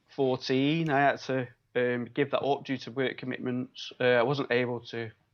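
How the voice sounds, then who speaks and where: A man with a Manchester accent, medium-pitched, at a moderate pace. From Manchester, northern England. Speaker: biomedical scientist and local election candidate. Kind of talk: interview. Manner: hesitant, many fillers.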